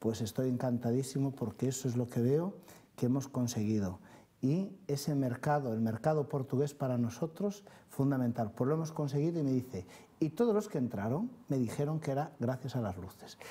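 At a moderate pace, a man speaks in a dark, mellow, somewhat breathy voice with ordinary pitch variation. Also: medium pitch for a man. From Galicia. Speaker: city councillor. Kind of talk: studio interview answering viewer calls. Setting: TV studio. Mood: pleased, upbeat. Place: studio.

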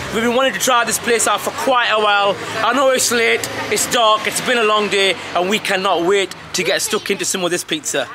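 The voice is raised and projected, moving at a fairly quick pace with ordinary pitch variation. Noticeable background noise runs underneath. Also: man. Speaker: food reviewer. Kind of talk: casual vlog chat. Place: street. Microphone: phone near.

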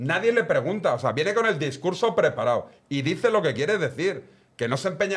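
A man's intonation is lively. He talks fairly quickly. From Barcelona, Spain; Spain. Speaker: football pundit. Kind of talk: casual chat. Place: studio. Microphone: studio mic.

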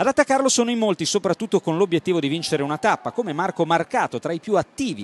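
Very fast and energetic, a man's voice makes very wide pitch swings in a dry, close recording with no echo. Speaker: cycling race commentator. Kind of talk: sports commentary recap. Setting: studio voice-over. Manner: fast, energetic, punchy narration; formal, crisp, scripted.

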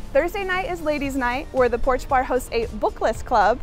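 Over faint background music, a woman speaks at a moderate pace, the sound dry with no echo. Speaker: show host. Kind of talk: promotional presenter talk. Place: bar.

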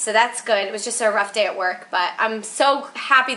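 A woman speaks in a raised, projected voice. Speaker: fitness vlogger. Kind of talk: casual vlog chat. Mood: upbeat after rough day. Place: home room. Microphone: webcam.

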